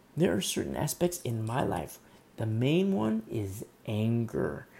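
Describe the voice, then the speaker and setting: A man with a medium pitch and a dark, mellow tone speaks somewhat breathily at a fairly slow pace. His pitch swings very widely, in a very clean recording with a silent background. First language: not English. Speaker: pastor. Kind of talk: sermon. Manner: halting.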